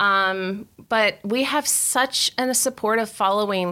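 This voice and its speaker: On a very clean recording with a silent background, a woman speaks with an American accent. Her tone is bright and sharp, fairly high in pitch, with fairly even intonation. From West Virginia. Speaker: physical therapy clinic co-owner. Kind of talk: interview.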